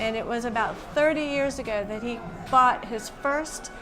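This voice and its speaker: A woman's fairly high voice with ordinary pitch variation, music playing in the background. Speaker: museum executive director. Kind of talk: interview answer.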